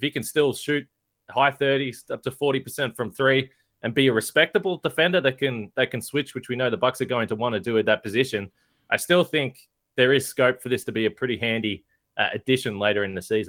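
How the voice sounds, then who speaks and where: A man with an Australian accent, medium in pitch with ordinary variation, at a very fast pace. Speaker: basketball podcast host. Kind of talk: casual chat.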